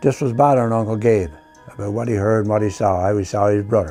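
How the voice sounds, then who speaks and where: A man with a Newfoundland accent at a very fast pace, music in the background. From Newfoundland, Canada. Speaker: artist and storyteller. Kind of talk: folk tale storytelling.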